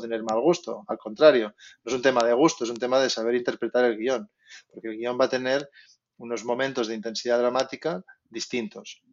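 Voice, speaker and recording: A man's medium-pitched voice, a plain, everyday voice, at a fairly quick pace with fairly even intonation. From Spain. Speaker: concept artist. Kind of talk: interview.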